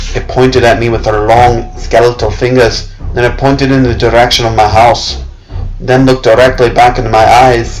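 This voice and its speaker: Here a man talks at a medium pitch and a moderate pace. Music plays in the background. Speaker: narrator. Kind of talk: dramatic horror story reading.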